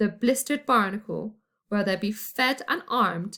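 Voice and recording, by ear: Reading aloud in a natural voice, with ordinary pitch variation, over a quiet background.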